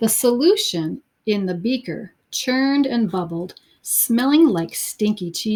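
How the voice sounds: A natural reading voice carries lively intonation. Behind it, all is quiet.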